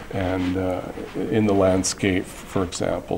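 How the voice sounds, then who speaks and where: With noticeable background noise behind him, a man speaks fairly slowly in a very deep, low pitch. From Six Nations Reserve, Southern Ontario, Canada. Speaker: artist. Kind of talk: interview. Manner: halting.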